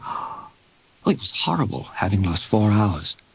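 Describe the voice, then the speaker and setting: A man talks very slowly with noticeable background noise around him. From Britain. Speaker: actor. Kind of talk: audiobook narration.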